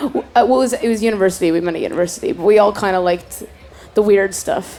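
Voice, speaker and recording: The speaker talks very fast with lively intonation. Noticeable background noise runs underneath. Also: woman, medium pitch for a woman. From Canada, Toronto. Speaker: singer. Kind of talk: casual interview. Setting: festival stage.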